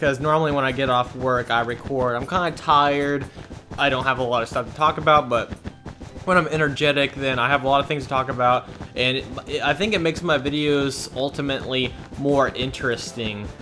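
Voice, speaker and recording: With an American accent, a man talks at a fairly quick pace and a fairly high pitch over noticeable background noise. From US Midwest, Indiana. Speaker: gaming YouTuber. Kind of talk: gameplay commentary. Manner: animated.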